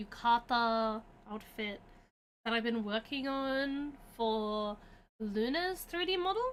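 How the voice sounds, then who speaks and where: Lively intonation runs through this voice with an Australian accent. The pace is very slow, broken by long, frequent pauses. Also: woman, fairly high pitch for a woman. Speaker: streamer. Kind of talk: casual chat. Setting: livestream. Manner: casual, filler-heavy.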